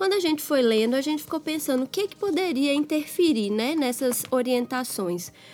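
A woman speaks at a high pitch and a moderate pace, her intonation lively. Noticeable background noise runs behind her. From Minas Gerais, Brazil. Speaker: pediatrician and podcast co-host. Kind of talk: casual chat.

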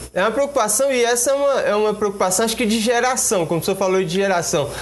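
A man's voice with noticeable background noise. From Brazil, Goiás (Luziânia). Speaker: web radio host. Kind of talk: live interview. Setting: live stream studio.

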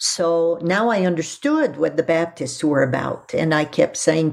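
A woman speaks at a fairly slow pace in a French accent. The recording is very clean, with a silent background. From Quebec (Quebec City, Montreal), raised in Ottawa. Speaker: seminary professor of Old Testament. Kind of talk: interview, personal testimony.

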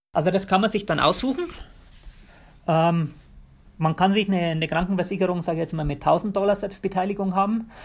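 A man's high-pitched voice at a very fast pace, with long, frequent pauses and fairly even intonation, on a very clean recording over a silent background. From Bavaria, Germany. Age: 40s. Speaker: physiotherapist. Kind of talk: interview.

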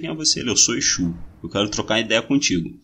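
A man with a Rio de Janeiro accent, very wide pitch swings, vocal fry and a fairly quick pace. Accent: Rio de Janeiro Portuguese (carioca). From Brazil, Rio de Janeiro (Bangu). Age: 20s. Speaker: podcast host. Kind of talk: casual chat.

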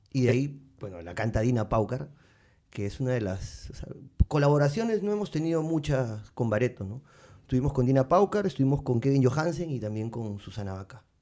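The tone is dark and mellow, with lively intonation. Delivery comes at a fairly quick pace. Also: man, medium pitch for a man. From Peru, Lima. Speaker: musician. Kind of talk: casual chat.

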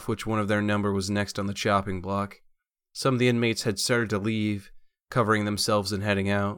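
Natural-voiced reading aloud over a quiet background

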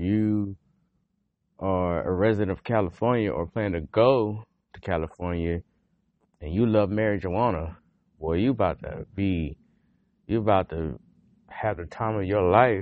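A man speaks with a Southern US accent at a fairly low pitch. His speech has long, frequent pauses. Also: ordinary pitch variation, fairly slow pace. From North Carolina, Greensboro. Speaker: podcast host, army veteran. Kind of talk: casual monologue.

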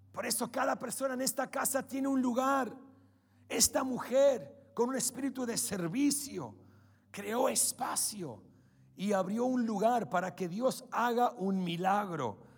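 An extremely high-pitched man at a fairly slow pace, animated in tone with ordinary pitch variation. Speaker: preacher. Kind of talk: sermon. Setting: church. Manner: animated, fervent preaching, rallying the congregation.

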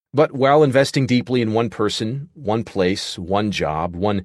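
A plain, everyday voice speaks at a moderate pace with lively intonation. The sound is dry and close with no echo, over a quiet background. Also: man. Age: 30s. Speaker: author narrating his book. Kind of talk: audiobook narration.

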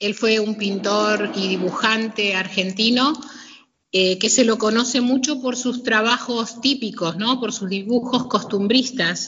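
At a fairly slow pace, a woman speaks with a fairly high pitch and fairly even intonation. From Argentina, Greater Buenos Aires (Hurlingham). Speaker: painter and gallery owner. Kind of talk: interview. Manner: hesitant, many fillers.

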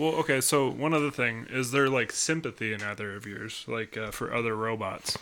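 Using a normal speaking voice, a man talks at a fairly quick pace with hardly any pauses, at medium pitch with ordinary pitch variation. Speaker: comedy podcast co-host. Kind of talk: casual comedic banter.

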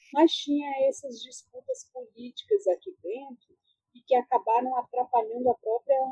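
In a dry, close recording with no echo, a woman with a high-pitched, dark, mellow voice speaks at a fairly slow pace with lively intonation. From Brasília, Vila Planalto. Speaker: author and researcher. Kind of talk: interview.

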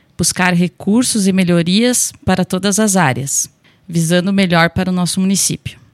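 A woman with an unremarkable speaking voice talks at a moderate pace and medium pitch, with ordinary pitch variation, very even loudness and a dry, close sound with no echo. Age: 30s. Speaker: local election candidate, nursing technician. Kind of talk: radio interview, prepared campaign statement. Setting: radio studio.

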